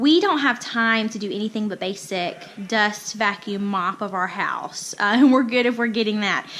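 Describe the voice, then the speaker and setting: A woman's plain, everyday voice, fairly high in pitch, with ordinary pitch variation at a moderate pace. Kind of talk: casual talk to camera.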